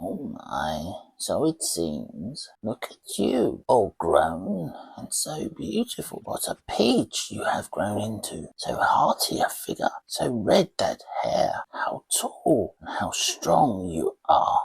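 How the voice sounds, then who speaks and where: Using a croaky put-on character voice, a man speaks very slowly with hardly any pauses. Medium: read story. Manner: dithering, doddering.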